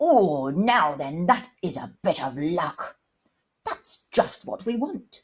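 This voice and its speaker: A woman's put-on character voice, growling at a medium pitch and a very slow pace. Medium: read story. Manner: posh, superior, plummy.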